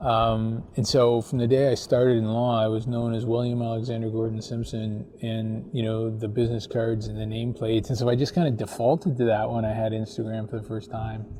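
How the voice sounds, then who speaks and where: Over noticeable background noise, a man talks at a fairly quick clip with hardly any pauses, in a medium pitch and a monotone, flat delivery. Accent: Canadian. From Canada, Ontario (Chatham area). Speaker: lawyer, podcast guest. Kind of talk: casual chat. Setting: outdoors by the harbour.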